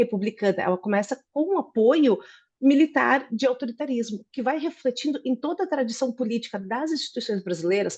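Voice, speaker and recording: A woman with a Brazilian accent, high pitch, lively intonation and a fairly quick pace, over a quiet background. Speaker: political scientist. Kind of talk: academic presentation.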